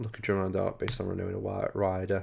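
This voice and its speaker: Here a man talks fairly quickly in a Liverpool accent. The recording is very clean, with a silent background. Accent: Scouse. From Liverpool, England. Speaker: gaming podcast co-host. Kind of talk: casual chat.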